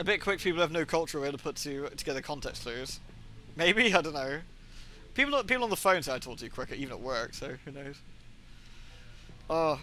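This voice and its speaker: A man with a British accent speaks in a fairly high voice at a fairly quick pace, with long, frequent pauses. His loudness swings widely, and music plays in the background. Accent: British accent found weird by Americans. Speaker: video game streamer. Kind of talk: casual chat. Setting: live stream. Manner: fast.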